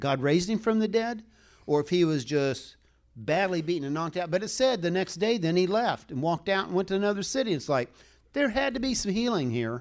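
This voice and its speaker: A man talks at a fairly quick pace in a high pitch. His voice moves through very wide pitch swings. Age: 60s. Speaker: preacher. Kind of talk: sermon.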